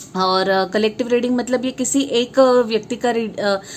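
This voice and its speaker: A woman is speaking. Her pitch is fairly high. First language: Marathi (speaking Hindi). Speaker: tarot reader. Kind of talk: tarot reading monologue. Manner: halting, many fillers.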